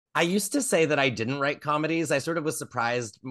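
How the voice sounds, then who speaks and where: A man with an American accent speaks at a very fast pace and a fairly high pitch. His pitch varies in an ordinary way over a quiet background. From northwestern Pennsylvania. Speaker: playwright. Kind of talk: casual interview conversation. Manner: hesitant, many fillers.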